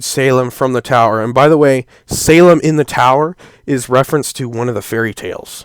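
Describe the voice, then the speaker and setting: A plain, everyday voice from a man at a medium pitch and moderate pace, with ordinary pitch variation, in a very clean recording with a silent background and a dry, close sound with no echo. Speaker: youtuber discussing an animated series. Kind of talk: solo commentary video.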